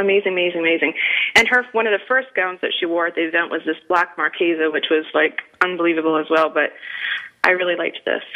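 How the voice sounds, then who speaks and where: Speaking very fast with an American accent, a woman shows ordinary pitch variation against noticeable background noise. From New England. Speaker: radio show host. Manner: animated, chatty.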